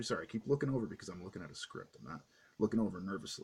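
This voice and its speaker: A somewhat breathy man on a very clean recording with a silent background. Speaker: comic book reviewer. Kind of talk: casual review vlog. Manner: fast; halting, many fillers.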